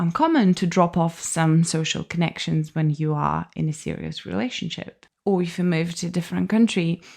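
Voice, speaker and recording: In a very clean recording with a silent background, a woman with a non-native accent talks at a fairly slow pace in a fairly low pitch. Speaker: podcast host. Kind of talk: casual podcast talk.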